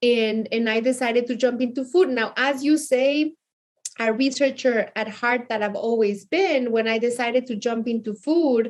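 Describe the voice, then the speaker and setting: A woman with a Mexican accent speaks in a high voice. Her pitch varies in an ordinary way. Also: moderate pace. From Mexico City, Mexico. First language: Spanish. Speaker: chef and cookbook author. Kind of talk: interview.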